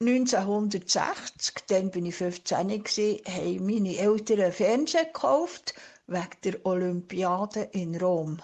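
A woman talks very slowly, her medium pitch moving with ordinary variation. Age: 70s. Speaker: retiree interviewee. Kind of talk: interview answers.

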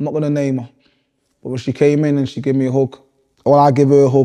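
Speaking with a northern English accent, a man of medium pitch has a dark, mellow tone. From Manchester, northern England. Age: 30s. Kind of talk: interview. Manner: animated.

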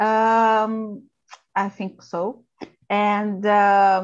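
A woman speaks with a Brazilian Portuguese accent. Her pace is very slow. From Brazil, Sao Paulo. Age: 40s. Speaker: procurement manager. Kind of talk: casual English practice conversation. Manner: halting, many fillers.

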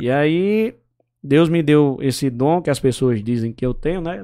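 On a very clean recording with a silent background, a man with an ordinary speaking voice talks at a fairly slow pace. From Brazil, Paraíba (Pombal, Northeast). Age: 30s. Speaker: radio journalist and broadcaster. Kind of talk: casual interview chat.

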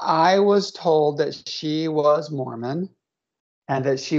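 A woman speaks in a very deep, low pitch with ordinary pitch variation. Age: 50s. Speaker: therapist. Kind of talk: interview.

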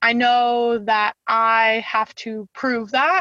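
A woman speaks with a bright, sharp tone at a fairly high pitch and fairly even intonation, recorded dry and close with no echo against a quiet background. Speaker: chemical engineer. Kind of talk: interview.

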